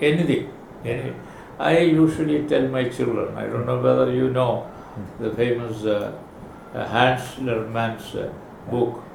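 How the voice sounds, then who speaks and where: A man's speech with long, frequent pauses over noticeable background noise. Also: moderate pace. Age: 80s+. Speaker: oncologist. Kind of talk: interview answer.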